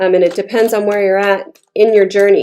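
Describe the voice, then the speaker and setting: Speaking at a moderate pace, a woman uses a medium pitch. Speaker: tarot reader. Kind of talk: tarot reading monologue. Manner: casual, chatty with fillers.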